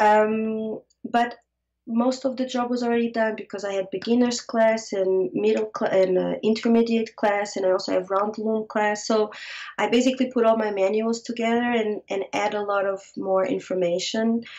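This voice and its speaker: The speaker has a Portuguese accent and a moderate pace. Intonation stays fairly even. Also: woman, fairly high pitch for a woman. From Portugal, Lisbon. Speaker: fiber artist. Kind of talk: interview. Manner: halting.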